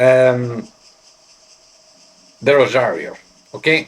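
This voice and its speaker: A Greek accent at a very slow pace, over noticeable background noise. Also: man. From Greece. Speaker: pipe smoking vlogger. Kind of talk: casual show-and-tell vlog. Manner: halting, hesitant.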